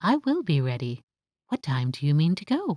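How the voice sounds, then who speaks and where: A put-on character voice at a middle pitch and a moderate pace. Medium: read story. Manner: bright, polite.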